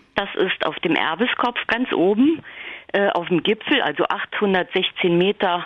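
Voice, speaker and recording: A woman's medium-pitched voice with ordinary pitch variation, over noticeable background noise. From Hunsrück, Rhineland-Palatinate, Germany. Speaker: newspaper editor and author. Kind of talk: interview.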